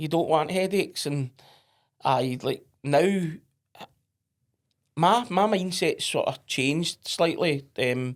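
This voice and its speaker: A man with a Scottish accent, high-pitched, at a very slow pace with long, frequent pauses and ordinary pitch variation. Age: 40s. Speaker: entrepreneur. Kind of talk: podcast interview. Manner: blunt, straight-talking.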